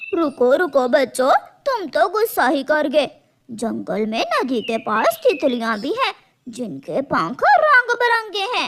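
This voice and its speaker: This is a high-pitched, cartoonish character voice. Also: fairly slow pace. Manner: smooth, cajoling.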